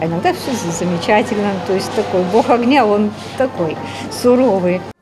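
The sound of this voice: A woman speaks at a moderate pace and a medium pitch, with ordinary pitch variation over clear background noise.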